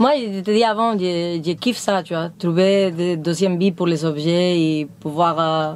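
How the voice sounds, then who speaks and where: A woman speaks at a very slow pace. Her pitch is fairly low, with ordinary variation. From Spain. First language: Spanish (speaking French). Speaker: van-dwelling nomad. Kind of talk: casual chat. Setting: inside her truck during a home tour.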